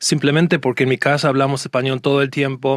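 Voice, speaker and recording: This is a man with a medium pitch. The sound is dry and close, with no echo. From United States. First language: English (speaking Spanish). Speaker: court and conference interpreter. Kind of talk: casual interview chat. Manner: hesitant, many fillers and restarts.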